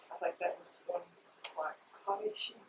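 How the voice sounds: A woman speaks with a fairly low pitch, a husky, rough edge and a slightly mellow tone.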